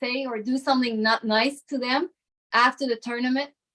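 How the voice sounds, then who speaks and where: This woman has a high-pitched voice and a slight French Canadian accent. Her intonation stays fairly even. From Ottawa, Canada (French Canadian). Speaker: arm wrestler. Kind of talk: casual interview chat.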